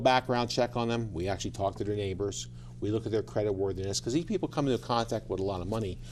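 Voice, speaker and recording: A man speaks at a very fast pace with medium pitch and vocal fry. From New York City, then eastern Pennsylvania from age 13. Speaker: judge and court candidate. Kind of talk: TV interview.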